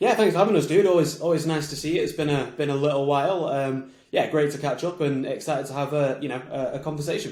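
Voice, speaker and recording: A man with a Mancunian accent talks at a very fast pace, with hardly any pauses, in a fairly high pitch and ordinary pitch variation. Noticeable background noise can be heard. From Manchester, England. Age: 20s. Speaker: marketing agency founder. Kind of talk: podcast interview. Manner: fast when excited.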